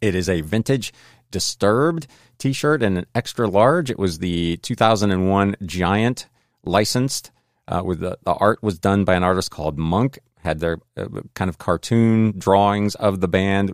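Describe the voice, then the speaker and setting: A man with fairly low pitch uses an unremarkable speaking voice at a moderate pace with ordinary pitch variation. The recording is very clean with a silent background and a dry, close sound with no echo. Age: 50s. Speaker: reseller and podcaster. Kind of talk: solo podcast monologue. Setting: home.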